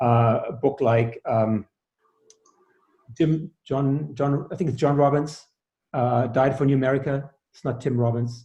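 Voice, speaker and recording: Speaking slowly with long, frequent pauses, a man keeps his intonation fairly even at medium pitch. His tone is dark and mellow and somewhat breathy. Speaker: sound healer and author. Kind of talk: interview. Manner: halting, many fillers.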